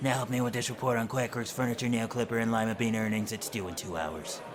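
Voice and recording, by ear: Over loud background noise, a man does a put-on character voice at a medium pitch and a very fast pace.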